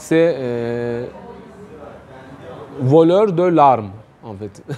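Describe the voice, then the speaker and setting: Speaking very slowly with a Turkish accent, a man at medium pitch makes very wide pitch swings, with audible room echo and noticeable background noise. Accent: non-native French, Turkish. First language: Turkish (speaking French). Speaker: writer and economics youtuber. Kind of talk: interview. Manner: hesitant, many fillers.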